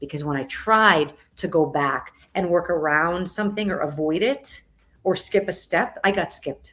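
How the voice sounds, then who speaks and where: With an American accent, a woman talks at a moderate pace in an ordinary speaking voice, her pitch fairly low with ordinary variation. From South Florida, US. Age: 40s. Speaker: entrepreneur and comedian. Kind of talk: podcast interview.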